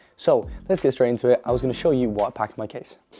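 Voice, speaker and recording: Music in the background behind a man speaking at a medium pitch. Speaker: darts YouTuber. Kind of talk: vlog-style casual talk to camera. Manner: casual, with fillers.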